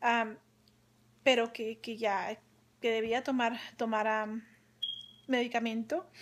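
A woman talks at a very slow pace and fairly high pitch, with fairly even intonation and long, frequent pauses. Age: 20s. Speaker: young-onset Parkinson's patient; vlogger sharing personal health experience. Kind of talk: personal testimony. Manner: halting, frequent repetitions and fillers. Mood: earnest, encouraging. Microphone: phone near.

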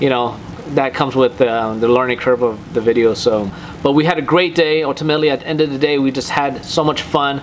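Someone speaks at a fairly quick pace over light background noise. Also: man. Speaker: car channel host. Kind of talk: casual vlog chat. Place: home room.

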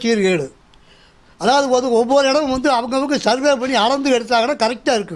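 Here a man is talking. His voice is pitched extremely high. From Coimbatore, Tamil Nadu. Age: 70s. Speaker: elderly homeowner and security guard. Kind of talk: news interview testimony.

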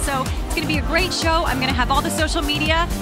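A woman talks at a very fast pace in a dry sound with no echo. Loud music plays behind her. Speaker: TV host, entertainment reporter. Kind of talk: live red carpet social media update. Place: studio. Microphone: handheld.

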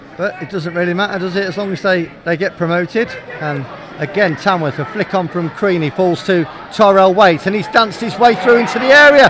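A man's high-pitched voice at a fairly quick pace with ordinary pitch variation, dry with no echo, crowd noise in the background. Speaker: football commentator. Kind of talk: live football commentary. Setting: stadium, radio broadcast.

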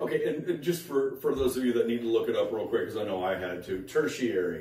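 Amid audible room echo, a man speaks fast in a fairly low voice with a slightly mellow tone. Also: ordinary pitch variation.

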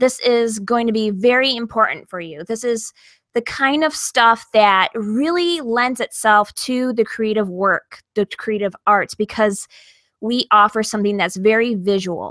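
A woman speaks at a fairly slow pace, her pitch fairly high with ordinary variation. Her tone is fairly bright, and the sound is dry and close with no echo.

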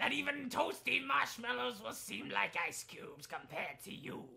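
The speaker talks at a moderate pace with a middle pitch. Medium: game stream. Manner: angry, threatening, shouting.

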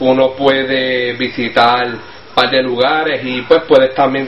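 With light background noise and audible room echo, a man speaks in a Puerto Rican accent. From Puerto Rico. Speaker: Spanish learning interviewee. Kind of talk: casual interview answer. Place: home room. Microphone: webcam.

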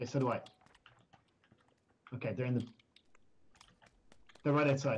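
Somewhat breathy speech at a very fast pace, broken by long, frequent pauses, with fairly even intonation. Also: man, medium pitch for a man. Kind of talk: casual gaming stream chat.

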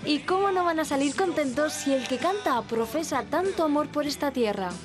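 A high-pitched woman at a moderate pace with lively intonation, music in the background. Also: very even loudness. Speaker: TV reporter. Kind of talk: TV news report narration.

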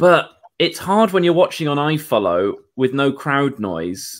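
A man's fairly slow speech plays out against a quiet background. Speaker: guest. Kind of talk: casual discussion. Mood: wry, somewhat downbeat. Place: home room.

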